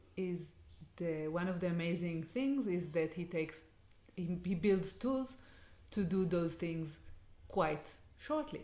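A woman with an Israeli accent speaks at a fairly low pitch, with audible room echo around her voice. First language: Hebrew. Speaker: education design co-host. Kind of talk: interview. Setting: in person, Jerusalem house.

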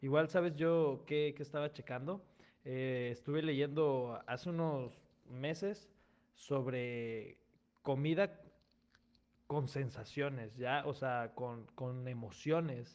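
A man with a fairly high pitch speaks at a very slow pace, using ordinary pitch variation. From Mexico, outside Mexico City. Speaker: podcast host. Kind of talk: casual chat.

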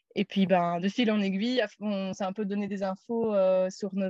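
Against a quiet background, a woman speaks at a medium pitch and a moderate pace. Her intonation is monotone and flat, the sound dry and close with no echo. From Belgium, Namur. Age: 30s. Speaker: van traveller. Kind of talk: casual interview.

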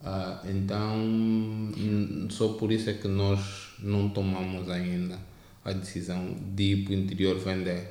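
A man speaks very slowly in a fairly low, dark and mellow voice. His intonation is monotone and flat, with audible room echo. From Angola, Luanda. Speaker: tech entrepreneur, startup founder. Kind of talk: interview. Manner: halting.

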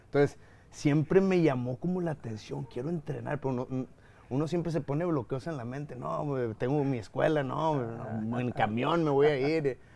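A fairly high male voice, dark and mellow in tone. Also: ordinary pitch variation, moderate pace. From Mexico, Nuevo León (Guadalupe). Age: 30s. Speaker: mixed martial arts fighter and analyst. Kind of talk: casual chat. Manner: animated.

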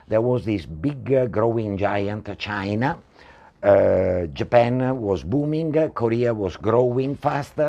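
With an Italian accent, a man speaks very slowly at a medium pitch, his dark, mellow tone carried by lively intonation. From Italy. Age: 60s. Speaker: property entrepreneur. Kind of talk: talk show interview. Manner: halting.

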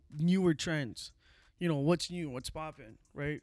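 An unremarkable speaking voice with ordinary pitch variation moves at a moderate pace on a very clean recording with a silent background. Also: man. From immigrant to Canada. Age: 20s. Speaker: barber. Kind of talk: casual chat.

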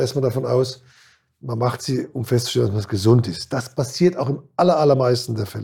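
In a very clean recording with a silent background, a man speaks at medium pitch with a dark, mellow, somewhat breathy tone and fairly even intonation. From Kurpfalz region, Germany. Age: 60s. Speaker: former handball player and band manager. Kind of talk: interview. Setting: studio.

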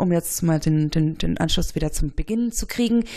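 This woman's voice has a dark, mellow tone. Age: 30s. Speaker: newspaper journalist. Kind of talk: casual chat.

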